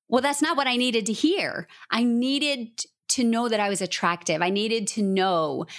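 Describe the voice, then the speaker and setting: The woman has an unremarkable speaking voice, fairly high in pitch, with lively intonation at a moderate pace. It is a very clean recording with a silent background. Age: 40s. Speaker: author and business coach. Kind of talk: casual chat.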